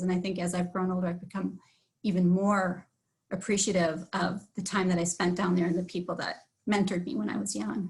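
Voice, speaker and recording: In a very clean recording with a silent background, a woman with a Wisconsin accent talks at a fairly quick pace in a medium pitch, somewhat breathy, with fairly even intonation. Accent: Upper Midwest (Wisconsin). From Wisconsin (Sauk Prairie). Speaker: village board member. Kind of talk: personal testimony at public meeting. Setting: livestreamed board meeting.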